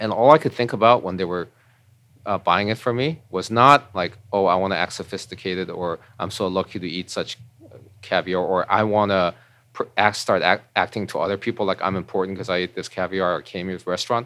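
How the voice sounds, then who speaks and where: Against a quiet background, a man with a fairly low pitch and a bright, sharp tone talks at a fairly quick pace with ordinary pitch variation. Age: 40s. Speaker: podcast guest, former army member. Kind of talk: casual interview conversation. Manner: halting, many fillers.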